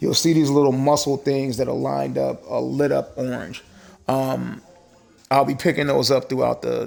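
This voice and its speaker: A man talks at a moderate tempo. Behind him, music is playing. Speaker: gaming streamer. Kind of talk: live gameplay commentary and build explanation. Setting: live stream. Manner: hesitant, many fillers; casual.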